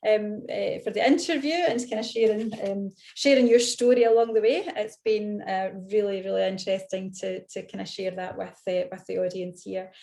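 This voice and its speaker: A woman with a fairly high pitch speaks with big swings in loudness. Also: ordinary pitch variation. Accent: Scottish. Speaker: event host, interviewer. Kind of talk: live online author interview. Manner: fast and loud when excited; hesitant, many fillers.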